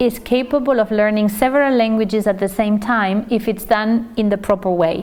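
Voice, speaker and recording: A woman with a Spanish accent speaks at a moderate pace in a fairly high voice, keeping very even loudness and ordinary pitch variation, over noticeable background noise. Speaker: teacher trainer. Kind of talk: lecture. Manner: hesitant with fillers.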